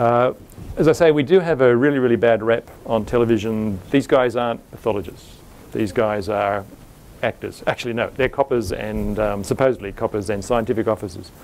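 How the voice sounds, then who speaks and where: A man at a fairly quick pace, ordinary pitch variation, over light background noise. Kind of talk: lecture. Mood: wry, lightly humorous. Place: hall. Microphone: lapel.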